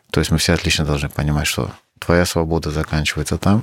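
This is a man talking. He has a Crimean accent. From Uzbekistan (Crimean Tatar family). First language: Crimean Tatar (speaking Russian). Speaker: battalion commander, soldier. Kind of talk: interview testimony. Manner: halting.

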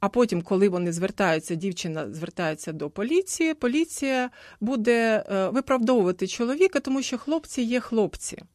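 Against a quiet background, a woman's fairly high voice makes very wide pitch swings in a dry, close sound with no echo. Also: moderate pace. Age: 50s. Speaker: gender adviser. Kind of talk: radio panel discussion. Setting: radio studio.

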